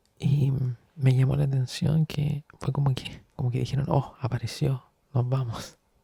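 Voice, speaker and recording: The speaker is a man with a medium pitch. His intonation is monotone and flat, and his pace fairly slow. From Chile. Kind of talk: ASMR soft-spoken storytelling. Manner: soft-spoken.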